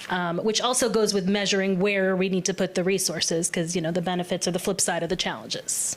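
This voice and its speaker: Amid noticeable background noise, a woman with a medium pitch speaks at a fairly quick pace. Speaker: workshop participant. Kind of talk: group discussion report-back. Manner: loud.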